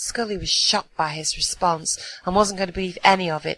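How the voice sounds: This natural reading voice has ordinary pitch variation.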